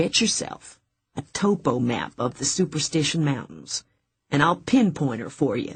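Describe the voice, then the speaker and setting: A booming, put-on character voice sits at a low-to-middle pitch. It moves at a moderate pace. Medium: read story. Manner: folksy, country grammar.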